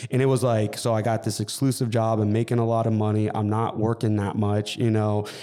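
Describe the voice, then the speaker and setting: With a Californian accent, a man talks at a fairly quick pace with hardly any pauses in a fairly low, monotone, flat pitch at very even loudness, over noticeable background noise. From Southern California, Inland Empire. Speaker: fitness coach and gym business owner. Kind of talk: casual interview.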